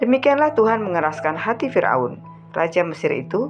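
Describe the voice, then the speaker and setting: Very wide pitch swings mark this voice, which moves at a moderate pace over music in the background. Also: woman. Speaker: Bible reader. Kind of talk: reading aloud.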